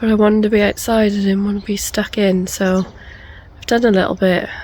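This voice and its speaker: The speaker uses a British accent with monotone, flat intonation at a moderate pace. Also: woman. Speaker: allotment gardener. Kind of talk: casual talk to camera.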